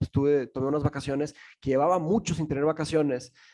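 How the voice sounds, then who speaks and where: Speaking with a Portuguese accent, a man has a fairly high pitch. His tone is dark and mellow. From Brazil. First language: Portuguese (speaking Spanish). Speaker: philosophy teacher and podcaster. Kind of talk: podcast interview. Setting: remote call. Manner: halting, many fillers and restarts.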